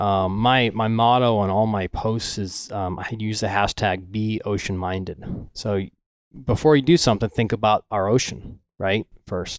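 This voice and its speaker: On a very clean recording with a silent background, a man in a normal speaking voice talks at a moderate pace, fairly low in pitch with fairly even intonation. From Florida Gulf Coast (Venice), moved from Michigan at four. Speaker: ocean photographer. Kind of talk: casual interview chat.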